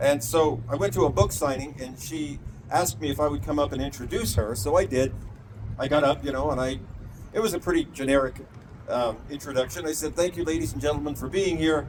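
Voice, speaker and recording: With audible room echo, a man talks at a fairly quick pace in a fairly high pitch. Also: ordinary pitch variation. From Wyoming reservation (Arapaho). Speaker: comedian. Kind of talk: stand-up. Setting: outdoor stage with audience.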